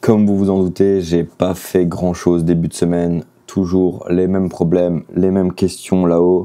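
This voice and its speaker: The man's pitch is very deep and low, with a dark, mellow tone. His pace is fairly slow. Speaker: artist and vlogger. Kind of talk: casual vlog. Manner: hesitant, many fillers.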